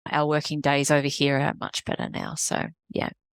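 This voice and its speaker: A woman with an Australian accent speaks at a moderate pace. The sound is dry and close with no echo, in a very clean recording with a silent background. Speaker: executive coach, business founder. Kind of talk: podcast interview.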